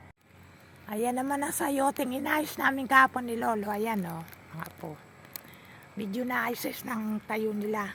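A woman's fairly high voice with ordinary pitch variation, big swings in loudness, and noticeable background noise. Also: fairly slow pace. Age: old. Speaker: vlogger and farmer. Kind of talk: casual vlog narration. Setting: outdoors.

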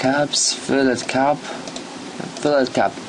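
A man speaks with a non-native accent over noticeable background noise. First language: not English. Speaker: YouTuber making software tutorials. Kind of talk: screen-recorded software tutorial. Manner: halting, many fillers.

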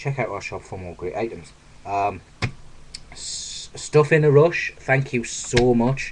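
A man with a British accent speaks at a very slow pace, his loudness swinging widely over light background noise. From UK. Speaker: YouTuber. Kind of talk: unboxing video. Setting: home video recording. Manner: animated. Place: home room. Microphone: webcam.

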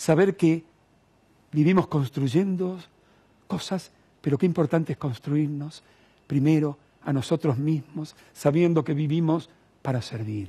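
Using long, frequent pauses, a man with a fairly high pitch and a dark, mellow tone speaks at a fairly slow pace with ordinary pitch variation. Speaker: TV host. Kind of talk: TV interview show. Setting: studio. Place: studio. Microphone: headset.

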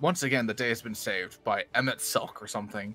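Faint music plays behind a man doing a booming, put-on character voice at medium pitch and a very fast pace. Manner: dramatic, proud.

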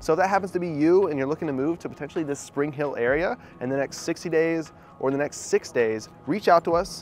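A man speaks very fast with ordinary pitch variation. The sound is dry with no echo, and faint music plays in the background. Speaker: real estate agent host. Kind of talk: casual vlog chat. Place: street. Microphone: lapel.

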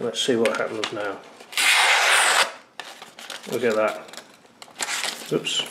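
Loud background noise fills the clip. The talking proceeds at a moderate pace. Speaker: product reviewer. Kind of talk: tutorial. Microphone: camera far.

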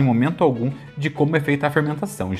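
Faint music plays in the background while a man talks at a fairly quick pace. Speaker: food reviewer. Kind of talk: casual product review vlog. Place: kitchen. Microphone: lapel.

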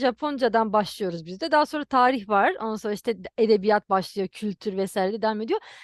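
A woman talks at a very fast pace with hardly any pauses. The sound is dry and close with no echo, and the background is quiet. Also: fairly high pitch for a woman, ordinary pitch variation. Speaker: YouTuber. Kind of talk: interview.

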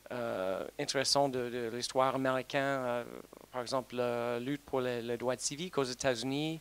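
The sound is dry with no echo as a man speaks at a medium pitch and a fairly slow pace. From United States. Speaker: diplomat. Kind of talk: conference talk. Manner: halting. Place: hall. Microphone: handheld.

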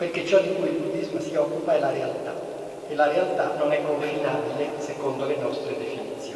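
The speech moves at a fairly quick pace. Strong room echo and light background noise surround it. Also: man. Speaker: Zen Buddhist monk. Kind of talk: talk at a book presentation. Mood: calm, reflective. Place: church.

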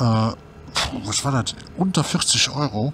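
A man with lively intonation. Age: 50s. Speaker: YouTuber, scooter rider. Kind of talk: casual vlog monologue. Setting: on a scooter ride outdoors. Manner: hesitant, many fillers.

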